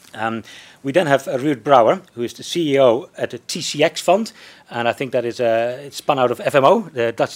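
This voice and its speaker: This man's voice sits fairly high. He talks at a moderate pace with ordinary pitch variation. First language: not English. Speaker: panel chair, economist at think tank. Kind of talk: panel discussion moderation. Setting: live event with audience. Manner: hesitant, many fillers.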